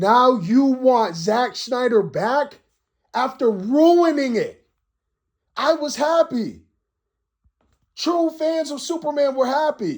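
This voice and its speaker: Loud and shouting, a man at an extremely high pitch speaks at a very slow pace with lively intonation and long, frequent pauses, on a very clean recording with a silent background. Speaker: YouTube commentator. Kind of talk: rant. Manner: animated; loud, yelling.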